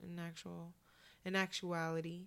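This very clean recording with a silent background features a woman whose voice sits fairly low. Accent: West Coast. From Oakland, California. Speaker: podcast co-host, social worker. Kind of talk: casual chat.

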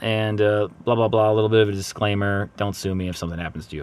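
A man with a fairly low pitch speaks at a very fast pace. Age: 30s. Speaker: podcast host, marketing consultant. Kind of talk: casual solo podcast monologue. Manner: upbeat; filler-heavy, hesitant.

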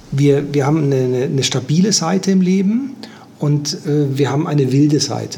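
A man speaks at a moderate pace with a fairly high pitch, ordinary pitch variation and very even loudness. Audible room echo and noticeable background noise accompany him. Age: 60s. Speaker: life coach and systemic therapist. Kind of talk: interview.

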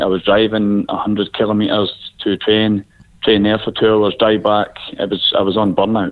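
Moderate pace with a Scottish accent and a flat, monotone intonation. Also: man. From Scotland. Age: 30s. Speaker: football coach, former player. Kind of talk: interview. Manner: hesitant, many fillers.

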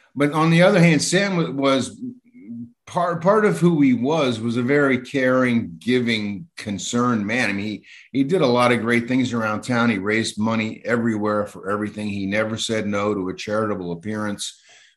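A man's normal speaking voice, medium in pitch, with lively intonation and a moderate pace. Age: 60s. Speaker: newspaper columnist. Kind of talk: interview.

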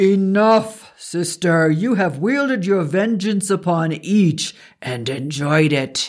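Putting on a character voice, a man speaks at a high pitch and a fairly slow pace with hardly any pauses. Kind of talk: archaic formal speech. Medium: read story. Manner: wry, amused, commanding.

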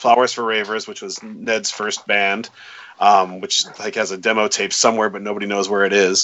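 Over noticeable background noise, a man with an American accent and a fairly low pitch speaks at a moderate pace in a monotone, flat intonation, with big swings in loudness. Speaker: musician, lyricist. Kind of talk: casual interview chat.

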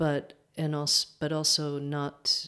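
Someone with a New York accent talks at a very slow pace in a very clean recording with a silent background. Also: woman. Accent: New York American. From US, upstate New York. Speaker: dance teacher. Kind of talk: interview. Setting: home kitchen. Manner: hesitant, many fillers.

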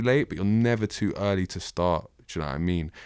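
With a South London accent, a man talks at a fairly quick pace. His pitch is fairly low, with ordinary variation. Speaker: rapper. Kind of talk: casual interview.

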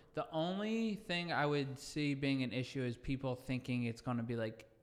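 With an ordinary speaking voice, a man talks at a moderate pace and a medium pitch. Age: 30s. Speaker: podcast guest. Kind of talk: casual chat.

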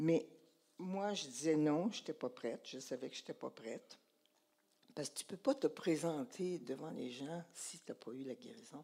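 With a Quebec accent, the speaker has a dark, mellow tone and lively intonation at a moderate pace. Loudness swings widely. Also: woman, very deep, low pitch for a woman. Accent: Québécois French. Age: 80s+. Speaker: church speaker. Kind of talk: sermon testimony.

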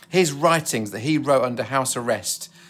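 On a very clean recording with a silent background, a man talks at a medium pitch with ordinary pitch variation. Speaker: pastor. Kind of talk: sermon. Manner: fast talker.

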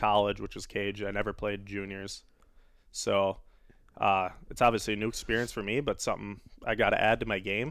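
A speaker with a Wisconsin accent talks at a fairly quick pace but with long, frequent pauses. The recording is very clean, with a silent background. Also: man. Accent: Upper Midwest (Wisconsin) American. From Wisconsin (West Salem, near La Crosse). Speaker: professional hockey player. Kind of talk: casual interview.

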